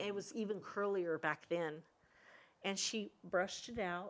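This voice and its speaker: Against a silent background on a very clean recording, a woman speaks at a fairly slow pace. Her pitch sits at a medium level. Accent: American. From Kansas, near Wichita. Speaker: podcast guest storyteller. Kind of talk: casual chat. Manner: talkative, animated.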